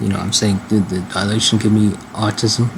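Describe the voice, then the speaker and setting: Noticeable background noise runs under the clip. A man with a fairly low pitch talks at a fairly quick pace. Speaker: vlogger. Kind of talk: casual monologue vlog. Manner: fast; halting, repetitive.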